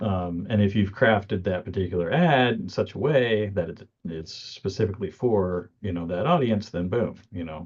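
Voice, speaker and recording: A man talks at a moderate pace with hardly any pauses, his fairly low voice showing ordinary pitch variation. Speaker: marketing coach co-hosting a live session. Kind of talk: live teaching chat. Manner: halting, many fillers.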